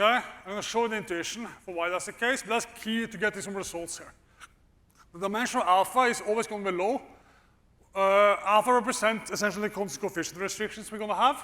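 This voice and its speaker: Raised and projected, a man's high-pitched voice with a bright, sharp tone races along at a very fast pace, keeping a fairly even intonation amid big swings in loudness. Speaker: economics professor. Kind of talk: lecture. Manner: casual, with frequent fillers.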